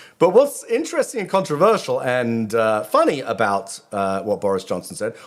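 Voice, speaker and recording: A man speaks with a British accent. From Britain. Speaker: rabbi, video commentator. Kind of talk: casual monologue. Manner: halting, many fillers.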